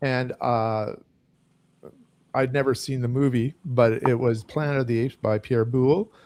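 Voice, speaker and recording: A man with an ordinary speaking voice, medium pitch, and fairly even intonation. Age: 60s. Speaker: science fiction book youtuber. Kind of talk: casual chat.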